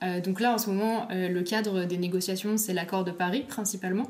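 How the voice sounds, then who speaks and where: Her voice sits at a medium pitch, and this woman keeps her intonation fairly even. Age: 20s. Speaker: climate activist and PhD student. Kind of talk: casual interview conversation.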